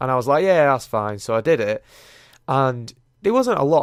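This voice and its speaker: A man with an English accent speaks at a fairly quick pace and medium pitch. The recording is very clean, with a silent background. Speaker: YouTuber. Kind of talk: casual podcast monologue.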